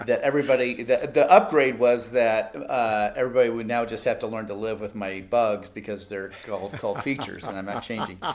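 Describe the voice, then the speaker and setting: A man at medium pitch, fairly quick and with hardly any pauses, fairly even intonation but big swings in loudness. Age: 60s. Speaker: nonprofit founder and former pastor. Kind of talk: casual interview chat. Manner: halting, many fillers.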